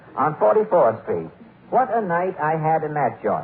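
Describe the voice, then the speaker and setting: Noticeable noise sits in the background while the words come at an average speed. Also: man. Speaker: radio comedian and show host. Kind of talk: old-time radio comedy monologue and sketch.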